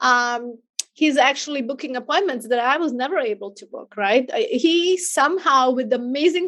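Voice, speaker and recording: At a moderate pace, a woman speaks with a high pitch and a non-native accent. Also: quiet background. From outside the US. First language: not English. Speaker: business owner and virtual assistant franchise owner. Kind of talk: podcast interview.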